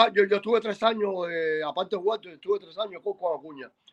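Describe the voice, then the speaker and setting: A man speaks in a raised, projected voice at a fairly quick pace, his pitch high and his pitch variation ordinary. The tone is bright and sharp, and the sound is dry and close with no echo. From Cuba. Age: 50s. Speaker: former baseball pitcher and coach. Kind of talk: casual interview. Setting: at a friend's home. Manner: halting, repeats words.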